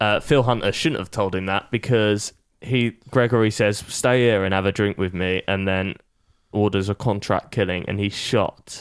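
A man with a British accent, fairly low in pitch, at a moderate pace with fairly even intonation, in a very clean recording with a silent background. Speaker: podcast panelist. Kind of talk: casual banter.

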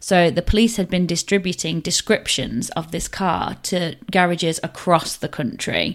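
Over a very clean recording with a silent background, the speaker uses vocal fry, ordinary pitch variation, and a moderate pace with hardly any pauses. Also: woman, fairly low pitch for a woman. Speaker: podcast host. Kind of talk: true crime storytelling. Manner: relaxed, weary.

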